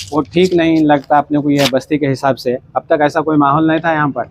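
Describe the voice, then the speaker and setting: This man has a fairly high pitch. His intonation stays monotone and flat. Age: 60s. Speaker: mosque committee member. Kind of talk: interview statement.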